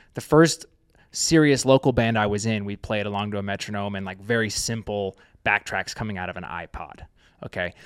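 A man with an ordinary speaking voice talks at a fairly quick pace in a fairly low pitch, with ordinary pitch variation and big swings in loudness, recorded with a dry, close sound with no echo in a very clean recording with a silent background. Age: 30s. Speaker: touring drummer and drum-gear founder. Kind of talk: casual interview chat.

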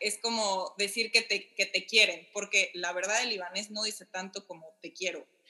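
At a moderate pace, a woman speaks at a medium pitch with a bright, sharp tone. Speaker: podcast guest, wife in intercultural couple. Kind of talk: casual chat.

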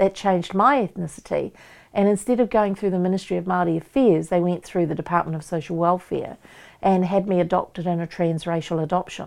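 Over a quiet background, a woman with a New Zealand accent talks at a fairly quick pace, her medium pitch showing ordinary variation. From New Zealand, Waikato. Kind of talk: interview.

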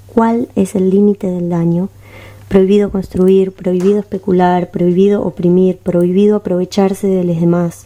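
This woman's dark, mellow tone carries monotone, flat intonation at a moderate pace. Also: medium pitch for a woman. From Uruguay, Montevideo. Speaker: rapper and singer. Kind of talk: casual interview chat.

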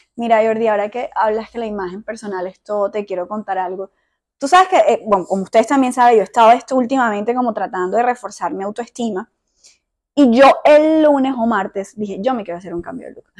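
Talking at a very fast pace, a woman with a fairly high pitch shows big swings in loudness. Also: ordinary pitch variation. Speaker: podcast host. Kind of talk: casual chat. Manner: calm, measured.

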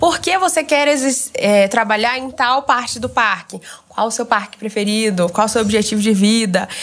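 Noticeable background noise surrounds a woman with a fairly high voice. She speaks at a moderate pace with lively intonation. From Brazil, Goiânia. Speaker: former Disney exchange worker. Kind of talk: casual chat.

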